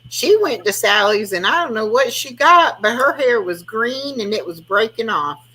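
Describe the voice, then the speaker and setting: With lively intonation, a woman talks at a moderate pace in an unremarkable speaking voice. She takes hardly any pauses. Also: fairly high pitch for a woman. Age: 60s. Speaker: live stream host. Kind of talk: casual chat. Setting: live stream.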